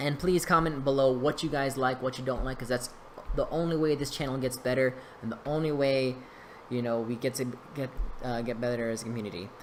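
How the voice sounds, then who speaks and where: Fairly even intonation shapes this man's medium-pitched speech at a fairly quick pace, with noticeable background noise. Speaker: YouTuber commenting on card game duels. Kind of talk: voice-over game commentary. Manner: casual, hesitant with fillers.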